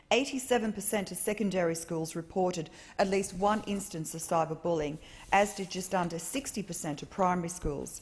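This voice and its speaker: A woman talks at a fairly quick pace and medium pitch. Her voice is somewhat breathy, with fairly even intonation. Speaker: member of parliament. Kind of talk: parliamentary speech. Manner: formal.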